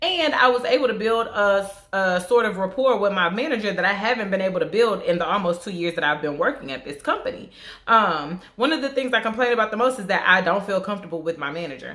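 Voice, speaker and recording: Clearly audible background noise runs under very rapid speech in an American accent. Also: woman, medium pitch for a woman, lively intonation. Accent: southern twang, suppressed at work. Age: 20s. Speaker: beauty vlogger. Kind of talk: casual chat. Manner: conversational with fillers.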